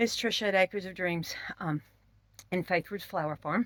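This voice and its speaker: A woman with a Southern US accent, fairly low in pitch, with ordinary pitch variation. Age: 60s. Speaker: homesteader. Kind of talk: casual vlog. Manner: casual with fillers.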